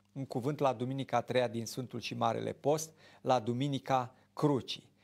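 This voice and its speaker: With an ordinary amount of pitch variation, a man keeps a moderate speaking speed. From Romania. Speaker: Orthodox priest, TV show host. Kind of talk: religious talk show, preaching. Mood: calm, earnest. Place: studio. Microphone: lapel.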